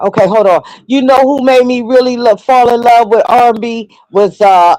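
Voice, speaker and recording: This woman's fairly high voice carries a dark, mellow tone. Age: 60s. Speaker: caller joining a livestream. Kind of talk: casual chat. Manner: halting.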